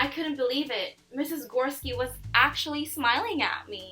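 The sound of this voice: In a room with audible echo and faint background music, a woman speaks at a moderate pace in a high, bright, sharp voice with lively intonation.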